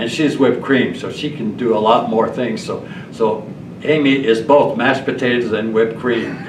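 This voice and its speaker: A man speaks at a moderate pace with fairly even intonation. Noticeable background noise and audible room echo are present. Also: medium pitch for a man. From Quebec, Montreal. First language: French. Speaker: retired car dealer and donor. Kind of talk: panel discussion. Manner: halting.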